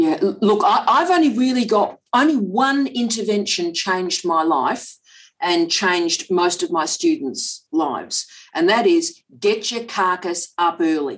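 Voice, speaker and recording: Her pitch swings very widely around a medium register for a woman as she talks at a fairly slow pace. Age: 50s. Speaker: professor. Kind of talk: interview. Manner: animated.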